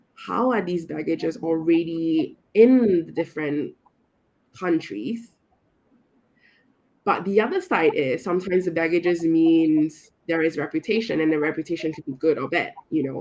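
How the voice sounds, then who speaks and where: A woman talks at a moderate pace in a normal speaking voice, pitched fairly low. Her pitch varies in an ordinary way. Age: 20s. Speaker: youth network volunteer. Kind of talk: interview.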